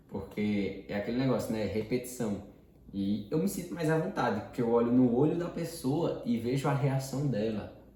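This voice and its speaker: Amid audible room echo and noticeable background noise, a man speaks at a moderate pace with ordinary pitch variation. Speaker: personal development teacher. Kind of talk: lecture. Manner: casual.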